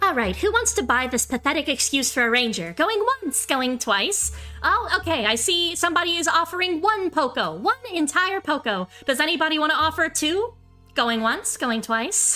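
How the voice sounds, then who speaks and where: A put-on character voice, high-pitched and at a moderate pace, over faint music in the background. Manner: brisk, showy.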